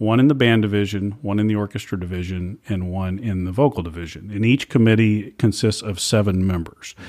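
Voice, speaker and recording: A man with an American accent speaks at a fairly low pitch and fairly quick pace, with hardly any pauses. His pitch varies in an ordinary way, and his voice is an unremarkable speaking voice. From Louisiana, US South. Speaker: state music education administrator. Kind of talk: interview.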